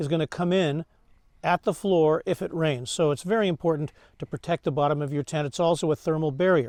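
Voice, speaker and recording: A man talks at a very fast pace in a fairly high pitch, his intonation fairly even. The background is quiet, and the sound is dry and close with no echo. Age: 70s. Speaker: camping vlogger. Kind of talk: outdoor tutorial vlog. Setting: outdoors at a campsite. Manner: halting, many fillers.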